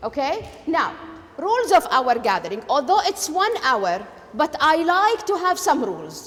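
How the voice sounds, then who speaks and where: Very wide pitch swings run through this moderate-paced speech in a Kuwaiti accent, with noticeable background noise. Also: woman. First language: Arabic. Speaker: education lecturer. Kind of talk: lecture.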